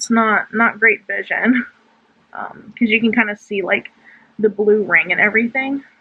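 Ordinary pitch variation from a woman, her pace moderate. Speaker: beauty vlogger. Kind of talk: casual tutorial vlog chat. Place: home room. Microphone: phone near.

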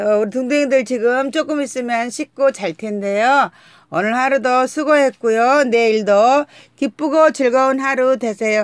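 This woman's voice sits high, with ordinary pitch variation and a dry, close sound free of echo. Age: middle-aged. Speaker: mukbang YouTuber. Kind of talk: live stream chat with viewers. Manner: animated.

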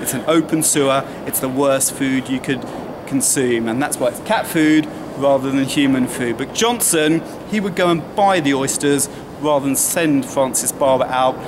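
A man speaks at a moderate pace with ordinary pitch variation. Noticeable background noise runs under his voice. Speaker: tour guide. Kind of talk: guided tour commentary. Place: street. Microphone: camera far.

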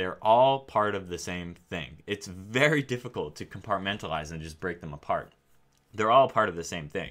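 Over faint background music, a man with a fairly low pitch talks at a moderate pace, his intonation lively and his loudness swinging widely. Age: 30s. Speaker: AI researcher and YouTuber; YouTuber. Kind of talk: casual monologue. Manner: repetitive, hesitant with fillers. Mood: calm, thoughtful. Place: home room.

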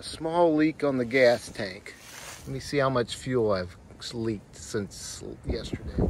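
A man talks fairly slowly in a dry sound with no echo, with loud noise in the background. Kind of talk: casual vlog chat. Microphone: phone near.

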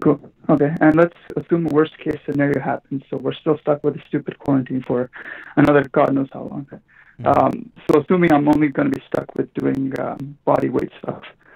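Against a quiet background, a man speaks at a fairly quick pace with vocal fry, a monotone, flat intonation and big swings in loudness. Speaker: caller. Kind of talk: call-in question. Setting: phone call. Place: home room.

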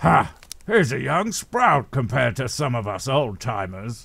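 A man with a medium pitch speaks at a moderate pace. His intonation is lively. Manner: flippant, rambling.

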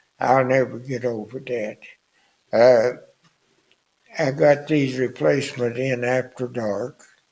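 Speaking very slowly with long, frequent pauses, a man with a Southern US accent keeps a medium pitch and fairly even intonation. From US South. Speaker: war veteran. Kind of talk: elder life story, plainspoken wartime reminiscence. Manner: rambling, folksy storytelling with filler words like anyway, why; chuckles often, understated about danger. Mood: somber reminiscence. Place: studio. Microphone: studio mic.

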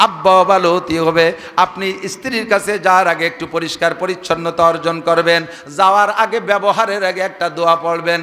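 Over noticeable background noise, a man uses a raised, projected voice at a high pitch. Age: 50s. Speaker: Islamic preacher. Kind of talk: humorous religious sermon. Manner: animated.

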